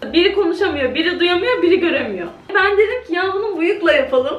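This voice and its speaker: Audible room echo surrounds a woman's voice. She talks at a moderate pace with ordinary pitch variation. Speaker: vlogger. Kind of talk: casual vlog chat. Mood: cheerful, laughing. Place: kitchen. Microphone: phone near.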